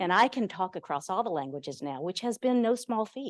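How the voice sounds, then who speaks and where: Over a quiet background, a woman speaks at a moderate pace in a dry, close sound with no echo. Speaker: nonprofit service provider executive. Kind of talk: panel presentation. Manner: loud.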